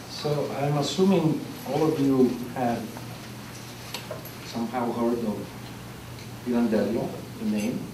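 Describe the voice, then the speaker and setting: Pitch varies in an ordinary way as a man speaks at a very slow pace. Noticeable background noise and audible room echo are present. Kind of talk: lecture. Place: hall. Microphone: camera far.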